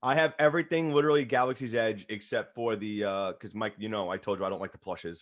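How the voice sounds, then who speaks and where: Against a quiet background, a man with a New York accent talks at a very fast pace with lively intonation and hardly any pauses. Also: medium pitch for a man. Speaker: podcast co-host. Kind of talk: casual chat.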